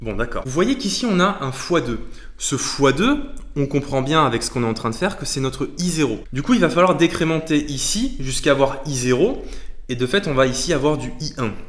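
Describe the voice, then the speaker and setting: A man's fairly high voice with lively intonation over noticeable background noise. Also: moderate pace. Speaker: maths teacher on video channel. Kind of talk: tutorial. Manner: halting.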